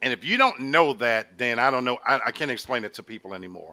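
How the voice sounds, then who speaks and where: In a very clean recording with a silent background and a dry, close sound with no echo, a man with a Southern US accent speaks in a bright, sharp tone. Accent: sounds like a Southern good old boy. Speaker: talk show co-host. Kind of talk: casual panel discussion.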